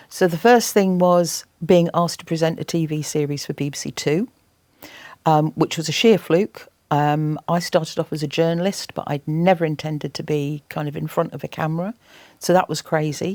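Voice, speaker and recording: A woman speaks at a moderate pace with a very deep, low pitch, fairly even intonation and an English accent, in a dry, close sound with no echo. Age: 60s. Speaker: environmental campaigner and TV presenter. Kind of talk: interview. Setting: college interview with students. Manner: halting.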